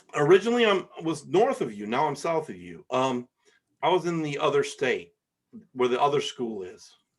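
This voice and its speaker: His voice fairly high, a man with an American accent swings very widely in pitch and makes big swings in loudness. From Michigan, US Midwest. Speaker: podcast host. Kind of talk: casual chat. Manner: fast.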